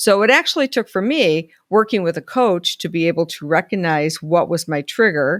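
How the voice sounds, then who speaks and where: A woman's unremarkable speaking voice at a moderate pace, with a dry, close sound and no echo. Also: very clean recording, silent background. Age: 60s. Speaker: life coach. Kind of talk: solo video talk. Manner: conversational.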